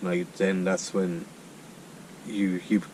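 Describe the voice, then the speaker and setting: A man's very deep, low voice in an Irish accent, with monotone, flat intonation. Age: 30s. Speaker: charity walker. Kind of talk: interview. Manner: halting, many repeated words.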